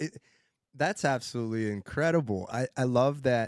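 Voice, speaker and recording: With ordinary rises and falls in pitch, an unremarkable speaking voice is captured very cleanly against a silent background. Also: man. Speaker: podcast host. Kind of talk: casual interview.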